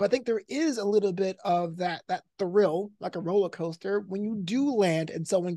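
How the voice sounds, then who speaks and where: In an American accent, a man with a dark, mellow tone speaks with ordinary pitch variation and hardly any pauses, the sound dry and close with no echo. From New York. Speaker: stand-up comedian and esports commentator. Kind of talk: casual interview chat. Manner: high energy.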